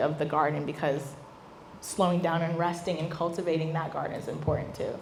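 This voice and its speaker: Audible room echo around a woman's fairly low voice. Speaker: business founder and speaker. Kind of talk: talk Q&A with audience. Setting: stage with audience. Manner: animated.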